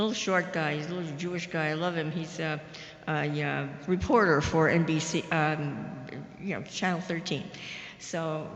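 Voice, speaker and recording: Over noticeable background noise and audible room echo, a woman speaks at a moderate pace with a fairly low pitch and fairly even intonation. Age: 80s+. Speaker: audience member. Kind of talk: audience question.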